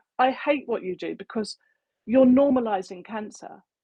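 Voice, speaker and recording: A woman's fairly high voice with lively intonation, in a dry, close sound with no echo. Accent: English. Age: 60s. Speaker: cancer prevention advocate. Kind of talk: casual chat. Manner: animated.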